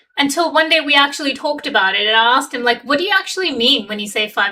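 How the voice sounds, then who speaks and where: A woman speaks very fast with a Pakistani accent. Her intonation is lively. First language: Urdu. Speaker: relationship coach. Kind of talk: casual chat. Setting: livestream.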